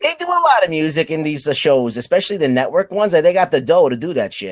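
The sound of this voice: Talking very fast with lively intonation, a man with a New York accent has a fairly high pitch, captured dry and close with no echo. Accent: East Coast, New York-area.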